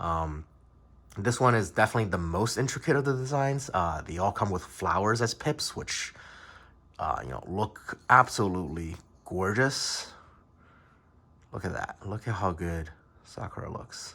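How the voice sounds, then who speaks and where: With a bright, sharp tone, a man talks at a moderate pace, leaving long, frequent pauses. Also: fairly low pitch for a man, lively intonation. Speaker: dice designer. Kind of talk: casual product review to camera. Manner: rambling, many filler words.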